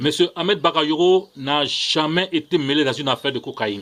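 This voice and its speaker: His pitch fairly high, the man lets it rise and fall in an ordinary way. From Ivory Coast. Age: young. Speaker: political commentator vlogger. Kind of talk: video monologue. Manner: hesitant, frequent fillers; impassioned.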